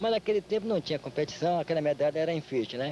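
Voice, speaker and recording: Words pour out very fast from a man whose pitch sits fairly high. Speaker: capoeira master. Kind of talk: interview testimony.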